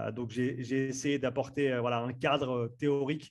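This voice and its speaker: The man talks at a very slow pace. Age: 30s. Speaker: strength and conditioning coach. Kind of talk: interview. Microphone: good podcast microphone.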